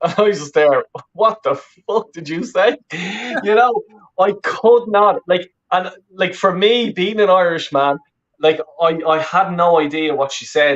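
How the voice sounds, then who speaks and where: A high-pitched man with a Dublin accent, fairly slow in pace, with long, frequent pauses and ordinary pitch variation. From Ireland, Roscommon then Dublin from age twelve. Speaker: football fan and YouTuber. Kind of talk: casual interview chat. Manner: halting, many repetitions and fillers.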